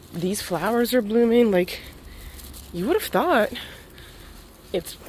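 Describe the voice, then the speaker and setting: Noticeable background noise fills the clip. A woman is speaking. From Russia, Voronezh. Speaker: vlogger and powerlifter. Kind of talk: casual vlog. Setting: outdoors. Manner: quiet.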